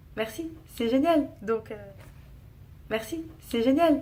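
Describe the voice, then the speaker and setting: With a dark, mellow tone and lively intonation, a woman speaks at a very slow pace. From France. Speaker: vlogger. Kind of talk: casual vlog talk to camera. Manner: hesitant, many fillers and repetitions.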